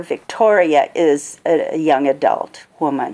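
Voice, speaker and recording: This woman speaks with an Upper Midwest accent and ordinary pitch variation. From Minnesota. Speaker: author. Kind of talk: author talk at a book fair. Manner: hesitant with fillers.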